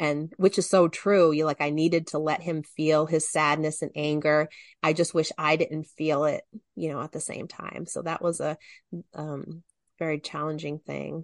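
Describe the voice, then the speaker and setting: A woman with a very deep, low pitch and monotone, flat intonation, big swings in loudness, dry, close sound with no echo, and a quiet background. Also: moderate pace. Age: 50s. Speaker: podcast guest, writer. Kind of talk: casual chat.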